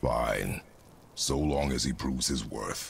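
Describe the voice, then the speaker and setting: A man speaks in a put-on character voice, very deep and low-pitched, at a fairly slow pace. His tone is raspy, with clear background noise. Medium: video game. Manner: terse, stern.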